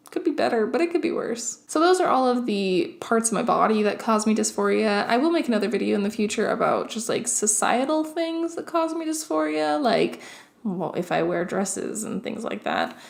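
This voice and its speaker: Fairly high female voice at a fairly quick pace, with very wide pitch swings and hardly any pauses. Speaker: YouTuber. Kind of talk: casual vlog monologue.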